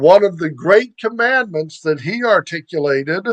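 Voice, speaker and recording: Speaking fairly slowly with an American accent, a man uses a high pitch with ordinary pitch variation. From US, Baltimore, Maryland. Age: 60s. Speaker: podcast host. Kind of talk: scripted monologue. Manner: formal.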